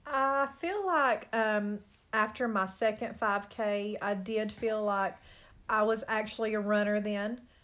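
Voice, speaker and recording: A woman talks fairly slowly in a normal speaking voice, fairly high in pitch with fairly even intonation, on a very clean recording with a silent background. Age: 30s. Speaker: hairdresser. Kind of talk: casual interview.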